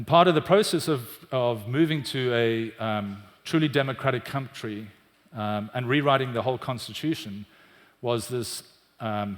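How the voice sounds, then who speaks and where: Speaking in a South African accent, the voice shows ordinary pitch variation. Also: man, medium pitch for a man, moderate pace. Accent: South African, often mistaken for British. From South Africa, Cape Town. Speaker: business executive. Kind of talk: conference talk. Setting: stage with audience.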